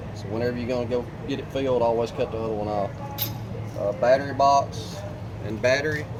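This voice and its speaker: With audible room echo and noticeable background noise, a man of medium pitch speaks at a very fast pace with fairly even intonation and long, frequent pauses. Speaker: RV dealer walk-through guide. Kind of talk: tutorial.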